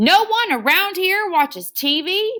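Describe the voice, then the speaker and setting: Using a put-on character voice, a woman growls and bellows at an extremely high pitch, speaking fairly slowly with lively intonation. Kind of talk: tall tale read aloud. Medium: read story. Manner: gruff, roaring, growling.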